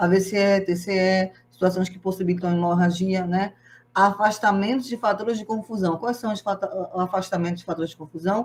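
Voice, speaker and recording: Somewhat breathy, a woman with a medium pitch speaks at a fairly quick pace. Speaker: organ donation specialist giving a talk. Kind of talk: lecture. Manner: fast; animated.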